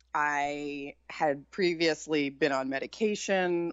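Her pitch very deep and low, a woman talks in an American accent. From San Francisco Bay Area, California. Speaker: author, chef and online video creator. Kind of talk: casual interview chat. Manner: not chipper, low-key.

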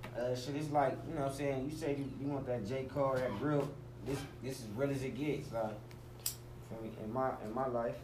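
Medium pitch from a man with an American accent, fairly even intonation, and noticeable background noise. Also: fairly quick pace. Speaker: rapper. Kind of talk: casual interview.

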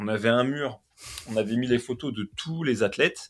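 At a moderate pace, a man talks in an unremarkable speaking voice pitched in the medium range. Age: 30s. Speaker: CrossFit competition commentator. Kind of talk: casual chat.

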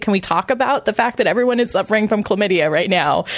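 A woman with an American accent talks at a very fast pace in a medium pitch. Noticeable background noise runs behind her. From US West, Imperial County, California. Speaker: sex educator and writer. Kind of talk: interview conversation. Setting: at a conference.

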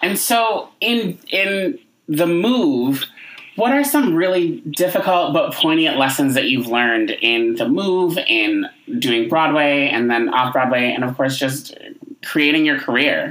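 A man with a fairly high pitch talks at a fairly slow pace with very wide pitch swings. His loudness stays very even. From upstate New York. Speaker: podcast host. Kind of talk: interview.

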